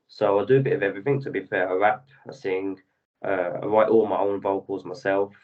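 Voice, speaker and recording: In a London accent, a man speaks at a moderate pace with a fairly low pitch and fairly even intonation. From London, England. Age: 20s. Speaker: rapper and singer-songwriter. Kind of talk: interview.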